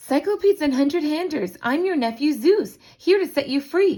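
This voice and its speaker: At a moderate pace, a woman puts on a high-pitched character voice. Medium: read story. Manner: brash, eager.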